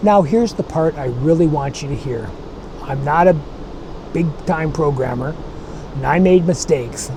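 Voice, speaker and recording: Speaking at a moderate pace with long, frequent pauses, a man with a fairly high pitch and ordinary pitch variation comes through over noticeable background noise and audible room echo. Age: 60s. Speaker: tech explainer channel host. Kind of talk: scripted channel introduction. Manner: friendly, conversational.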